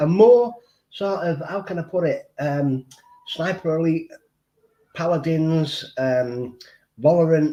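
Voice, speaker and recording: Speaking in a Mancunian accent, a man uses a high pitch with ordinary variation. His pace is fairly slow, broken by long, frequent pauses. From Manchester, northern England. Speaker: streamer. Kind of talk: casual chat. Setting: live stream. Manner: halting, repetitive.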